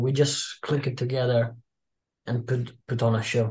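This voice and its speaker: With an Italian accent, a man speaks in a somewhat breathy voice at a medium pitch. His pace is fairly slow and his intonation is monotone and flat. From Italy. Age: 20s. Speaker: pro wrestler. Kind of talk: interview.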